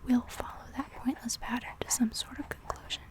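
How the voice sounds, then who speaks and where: Whispered speech from a woman, with noticeable background noise. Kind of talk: soft-spoken reading of a classic story for ASMR. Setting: ASMR recording with layered writing and page sounds. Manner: soft-spoken, whispery.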